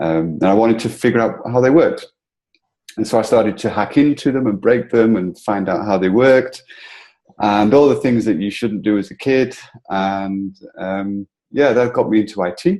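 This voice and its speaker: A man with a northern English accent has a dark, mellow tone, fairly low pitch and ordinary pitch variation. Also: moderate pace. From northern England, between Liverpool and Manchester. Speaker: entrepreneur, founder of a coworking community. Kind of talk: interview.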